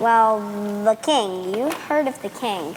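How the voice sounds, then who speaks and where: A put-on character voice, female-sounding, at a fairly high pitch and fairly slow pace, with clear background noise. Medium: stage play. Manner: sassy, sly.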